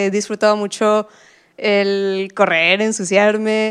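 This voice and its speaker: Woman with a fairly high pitch, speaking at a very slow pace. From Mexico, Puebla. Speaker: frontend developer. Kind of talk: interview storytelling. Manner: hesitant with fillers.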